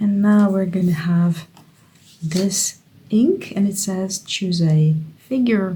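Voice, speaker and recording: This woman has a dark, mellow tone, somewhat breathy, at a fairly low pitch. She speaks at a very slow pace with ordinary pitch variation. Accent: Dutch. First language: Dutch. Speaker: creative writing YouTuber. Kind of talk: casual tutorial. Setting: home studio. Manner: thinking aloud, hesitant.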